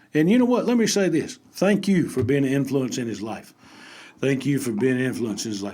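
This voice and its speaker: Very wide pitch swings and a fairly quick pace in a Southern US accent, with audible room echo. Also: man, fairly high pitch for a man. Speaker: basketball podcast host. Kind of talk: casual podcast chat. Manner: animated.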